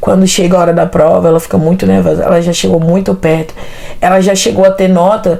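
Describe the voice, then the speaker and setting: A woman talking very fast at very even loudness, with noticeable background noise. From Brazil, Tocantins. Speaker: interview guest, environmental technologist. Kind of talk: interview, life story. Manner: casual, hesitant with fillers.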